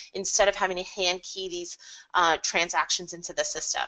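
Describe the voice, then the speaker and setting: Her voice has a bright, sharp tone. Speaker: software consultant presenting products. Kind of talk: webinar product presentation. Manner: fast.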